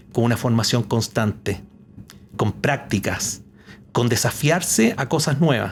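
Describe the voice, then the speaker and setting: At a fairly slow pace, a man talks in a somewhat breathy voice with ordinary pitch variation. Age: 60s. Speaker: retired company executive. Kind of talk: podcast interview.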